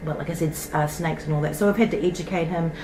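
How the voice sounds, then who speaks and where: With a New Zealand accent, a woman speaks at a fairly low pitch with ordinary pitch variation, amid audible room echo and noticeable background noise. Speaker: toy collecting YouTuber. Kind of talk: casual show-and-tell vlog. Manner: chatty, rambling with fillers.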